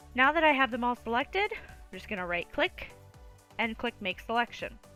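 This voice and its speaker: Music plays behind a woman speaking at a moderate pace. Her loudness swings a lot, and her pitch swings very widely. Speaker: pet photographer. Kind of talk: software tutorial. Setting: home recording, lower audio quality.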